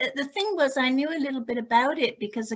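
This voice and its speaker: Her accent is British. The woman's pitch rises and falls in an ordinary way. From UK. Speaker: group member. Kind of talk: casual chat.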